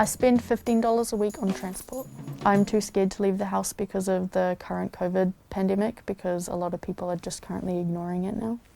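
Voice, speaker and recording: This woman's voice sits at a medium pitch. She talks in a New Zealand accent. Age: 20s. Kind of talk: personal testimony.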